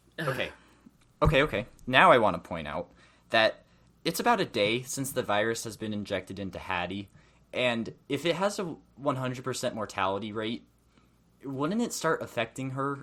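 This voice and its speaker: Here a man's medium-pitched voice has a bright, sharp tone, lively intonation and big swings in loudness at a moderate pace. The recording is very clean, with a silent background. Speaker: movie podcast host. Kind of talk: casual chat. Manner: loud, yelling.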